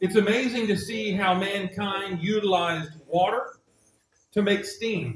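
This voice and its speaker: A man talks at a very slow pace in a high pitch. His intonation stays fairly even. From United States. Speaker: visiting pastor. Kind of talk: sermon. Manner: deliberately slowed speech.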